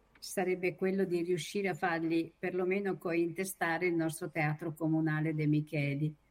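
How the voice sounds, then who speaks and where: A woman speaks at a fairly low pitch. She has an ordinary speaking voice. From Copparo, Emilia-Romagna. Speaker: association administrator, friend of the tenor. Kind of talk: casual chat.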